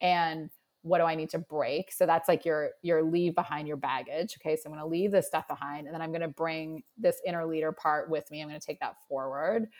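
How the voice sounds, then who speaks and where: On a very clean recording with a silent background and a dry, close sound with no echo, a woman speaks in a plain, everyday voice at a fairly low pitch, fairly quick and with hardly any pauses, her intonation fairly even and her loudness swinging widely. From Nova Scotia, Canada. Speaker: career and mindset coach. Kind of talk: casual interview chat.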